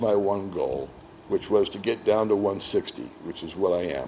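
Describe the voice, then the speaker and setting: A man's relaxed tone at a fairly slow pace, with an American accent and noticeable background noise. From United States. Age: 60s. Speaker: expat boyfriend of the channel host. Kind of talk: casual interview. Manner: relaxed, conversational with fillers.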